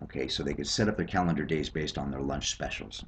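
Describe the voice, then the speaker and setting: A man talking at a very fast pace, with vocal fry. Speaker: sales team leader. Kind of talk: screencast sales presentation. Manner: hesitant, many fillers.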